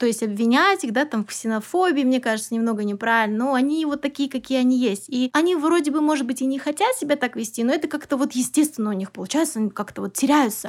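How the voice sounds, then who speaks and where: A woman speaks at a very fast pace with hardly any pauses, her pitch high and her intonation lively. The recording is very clean, with a silent background. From Kazakhstan, Almaty. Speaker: English teacher and business owner. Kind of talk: interview.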